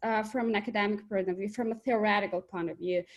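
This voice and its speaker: A woman with a medium pitch speaks with an Albanian accent. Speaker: economics researcher. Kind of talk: webinar presentation. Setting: video call.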